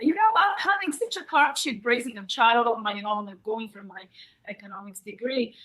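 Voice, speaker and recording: With a Bulgarian accent, a woman speaks in a bright, sharp tone, her loudness swinging widely and her pitch swinging very widely. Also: moderate pace. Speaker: psychic coffee reader. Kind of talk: presentation. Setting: stage with audience. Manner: halting.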